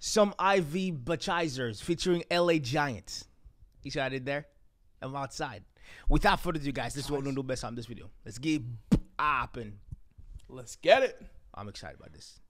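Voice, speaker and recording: A man's fairly quick speech carries lively intonation. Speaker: reaction channel host. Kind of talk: casual reaction intro chat. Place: home room. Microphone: studio mic.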